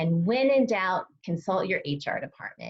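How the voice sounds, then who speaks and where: A woman's fairly high, somewhat breathy voice swings very widely in pitch. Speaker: dietitian presenting a nutrition webinar. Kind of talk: live webinar presentation. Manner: fast; animated.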